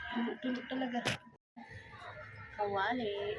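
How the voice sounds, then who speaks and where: Noticeable background noise sits behind a soft-spoken woman who talks at a fairly slow pace. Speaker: cooking vlogger. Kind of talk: casual cooking vlog. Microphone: no microphone, voice quiet.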